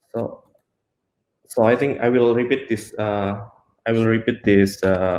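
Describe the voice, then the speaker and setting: With an Indonesian accent, a man speaks fairly slowly at a medium pitch, with fairly even intonation and long, frequent pauses. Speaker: software engineer. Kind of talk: technical talk. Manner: halting, many fillers.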